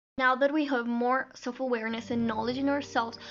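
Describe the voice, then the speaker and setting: Over music in the background, a high-pitched woman talks with fairly even intonation. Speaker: singer. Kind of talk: casual talk to camera.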